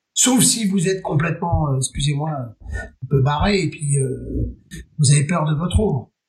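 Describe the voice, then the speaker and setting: Using vocal fry and lively intonation, a man speaks at a fairly high pitch and a fairly slow pace. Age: 50s. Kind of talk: interview.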